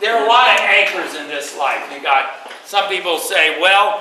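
A man with a high pitch talks at a moderate pace in a bright, sharp tone with lively intonation. Strong room echo surrounds his voice.

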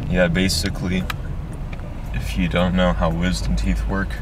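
Noticeable background noise fills the recording. A man talks through it at a moderate pace. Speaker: vlogger. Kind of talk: casual vlog chat. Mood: nervous but calm. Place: car. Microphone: phone near.

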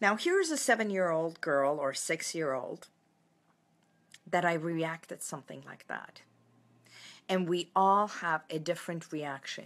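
A woman's fairly low voice at a fairly slow pace, with ordinary pitch variation and long, frequent pauses. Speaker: wellness coach. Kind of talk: casual live talk to viewers. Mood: warm, reflective, some laughing. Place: home room. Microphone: phone near.

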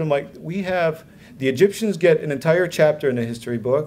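Fairly quick speech from a man with a fairly high voice and ordinary pitch variation. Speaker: conference attendee. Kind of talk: personal testimony. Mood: earnest, reflective. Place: hall. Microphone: podium.

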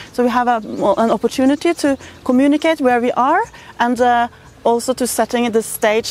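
A woman talks at a fairly quick pace with ordinary pitch variation, a dry sound with no echo and light background noise. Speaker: interviewee. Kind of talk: interview answer. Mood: calm explanatory. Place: garden.

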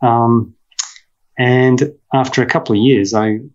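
There is a quiet background. Over it, a man talks in an Australian accent. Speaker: veterinarian and professor. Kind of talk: interview conversation. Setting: video call. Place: home room. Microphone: video call.

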